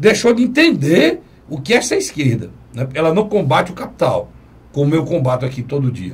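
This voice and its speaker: Using very wide pitch swings, a man talks at a fairly quick pace in a fairly high pitch. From Brazil. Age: 50s. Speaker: TV talk show host. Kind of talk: political talk show discussion.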